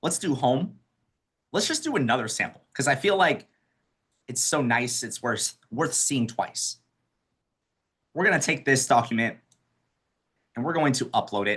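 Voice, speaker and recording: Lively intonation at a moderate pace, broken by long, frequent pauses, over a quiet background. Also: man. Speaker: accessibility trainer. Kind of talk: webinar tutorial.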